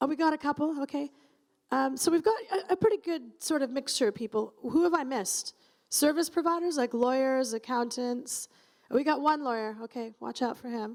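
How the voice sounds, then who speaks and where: Loud and animated, a woman with a high-pitched voice talks at a fairly quick pace with lively intonation. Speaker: conference moderator. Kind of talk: event moderation to live audience. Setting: stage with audience. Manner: chatty, animated.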